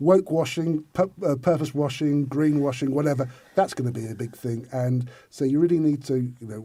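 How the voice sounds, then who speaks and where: The voice is somewhat breathy with a dark, mellow tone, moving at a fairly quick pace with ordinary pitch variation. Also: man. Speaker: influencer marketing specialist. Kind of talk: interview. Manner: fast; halting, many repetitions.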